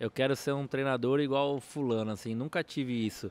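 A man talks at a moderate pace in a fairly high pitch, in a dry recording with no echo. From São Paulo city, Brazil; Brazil. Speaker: football assistant coach. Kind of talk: casual interview chat; interview answer. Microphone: studio mic.

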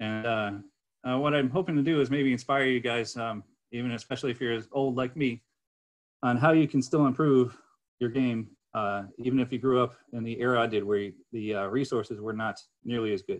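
The background is quiet. A man with an American accent talks with ordinary pitch variation. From US Northeast (Connecticut). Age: 50s. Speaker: chess master giving a lecture. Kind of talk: lecture. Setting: online club lecture with audience. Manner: halting with frequent fillers. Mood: relaxed, enthusiastic storytelling. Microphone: webcam.

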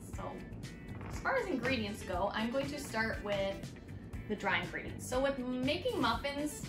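A woman talks at a fairly quick pace, and clear music can be heard in the background. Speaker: teacher giving a cooking demo. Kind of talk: tutorial. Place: kitchen. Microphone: camera far.

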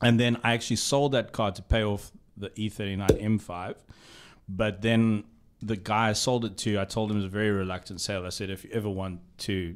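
A man speaks with a fairly low pitch and fairly even intonation at a moderate pace. Light background noise is present. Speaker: motoring journalist, podcast co-host. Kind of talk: casual podcast conversation. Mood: relaxed, amused storytelling. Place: studio. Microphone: studio mic.

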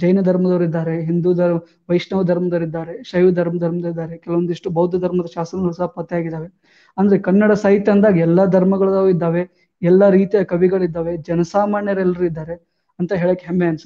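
Over a quiet background, a man speaks in a high pitch with monotone, flat intonation. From north Karnataka, India (Jamkhandi, Bagalkot district); Karnataka. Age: 20s. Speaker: police officer, civil service exam topper; interviewee. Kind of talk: interview. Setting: live online broadcast. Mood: warm, proud, smiling. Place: home room. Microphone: lapel.

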